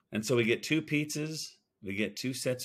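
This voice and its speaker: A man's plain, everyday voice at a fairly slow pace, with lively intonation on a very clean recording with a silent background. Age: 50s. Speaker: sports podcast host. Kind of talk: casual chat.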